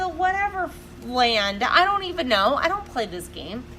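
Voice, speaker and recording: A woman with an extremely high pitch speaks at a moderate pace in a raised, projected voice, her tone animated and her pitch swinging very widely. Room echo is audible, and there is noticeable background noise. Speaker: podcast co-host. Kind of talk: casual chat. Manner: loud.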